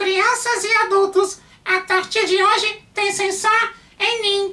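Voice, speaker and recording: A man does a put-on character voice at an extremely high pitch, speaking at a fairly slow pace with monotone, flat intonation. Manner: sassy, teasing.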